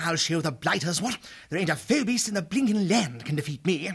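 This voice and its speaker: Noticeable background noise sits behind this man's voice. He talks at a moderate pace with a high pitch. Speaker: audiobook narrator voicing characters. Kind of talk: character voices in dramatic audiobook reading. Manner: boisterous, swaggering boyish bravado.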